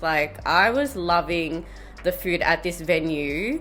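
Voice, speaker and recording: Music plays in the background as a woman speaks. Her pitch is fairly low and her intonation lively. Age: 30s. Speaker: vlogger and scientist. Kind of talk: vlog narration. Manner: casual, chatty.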